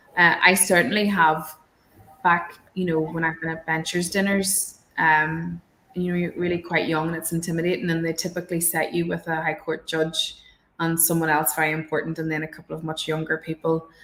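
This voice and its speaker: The speaker has a Northern Irish accent and a fairly quick pace. The intonation stays flat and monotone. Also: woman, fairly low pitch for a woman. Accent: rural Northern Irish. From Northern Ireland, countryside. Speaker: barrister. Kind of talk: panel discussion. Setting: online webinar. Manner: hesitant, many fillers.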